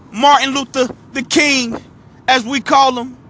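A man talks at a fairly slow pace. His raised, projected voice sits at an extremely high pitch. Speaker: motivational speaker. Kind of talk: motivational talk.

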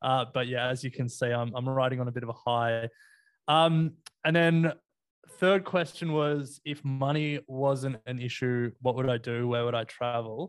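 A man's medium-pitched voice in an Australian accent, at a moderate pace with fairly even intonation. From Australia, Sydney. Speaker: investing podcaster. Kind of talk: casual chat. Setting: video call.

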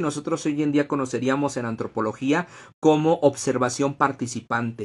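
A man talks at a fairly high pitch. It is an ordinary speaking voice. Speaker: history podcast host and workshop teacher. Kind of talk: live-streamed lecture. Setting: Facebook Live stream.

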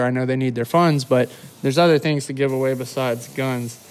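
A man talks with a Southern US accent in a fairly high voice. His intonation stays fairly even. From Mississippi (Starkville). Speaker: podcast co-host. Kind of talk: casual chat. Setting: garage.

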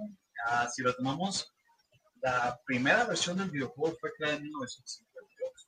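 A man with a fairly high pitch talks very slowly, his intonation lively. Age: 20s. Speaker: gaming content creator. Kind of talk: casual chat.

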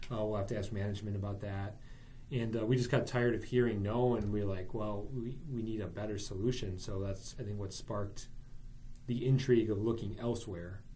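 A somewhat breathy, dark, mellow voice with an American accent moves at a fairly quick pace. Its intonation is fairly even, and the room echo is audible. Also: man. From Wisconsin, US Midwest. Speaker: real estate broker. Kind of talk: casual interview.

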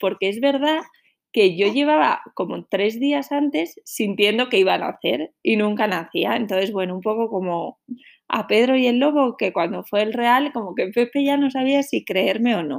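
A woman speaks at a moderate pace with a fairly high pitch and lively intonation. The recording is very clean, with a silent background. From northern Spain, Santander. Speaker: podcaster, mother. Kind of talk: personal storytelling.

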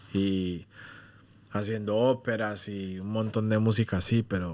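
A man's fairly slow, monotone delivery with flat intonation. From London, UK, with years in Colombia from age 10. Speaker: music producer and artist. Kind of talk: casual interview chat.

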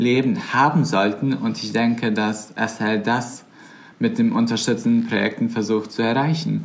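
Audible room echo surrounds a man with a Bosnian accent who speaks at medium pitch and a moderate pace. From Bosnia and Herzegovina. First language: Bosnian (speaking German). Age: 20s. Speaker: volunteer campaign worker. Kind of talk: casual interview chat.

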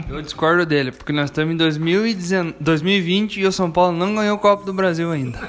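Over noticeable background noise, a man speaks at a moderate pace in a high voice, with ordinary pitch variation and hardly any pauses. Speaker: football fan panelist. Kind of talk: casual debate chat.

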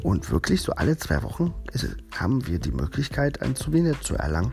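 Over noticeable background noise, a man with a very deep, low pitch talks fairly quickly, his pitch swinging very widely. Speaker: geocaching podcast host. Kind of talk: casual solo podcast monologue.

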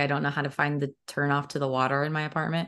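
A woman is talking. Her pace is very fast. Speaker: podcast host and acting student. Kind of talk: casual interview chat. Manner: laughs often, friendly.

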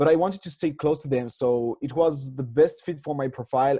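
With a French accent, a man speaks at a medium pitch in a dark, mellow tone. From France. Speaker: master's student and amateur rugby player. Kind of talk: interview.

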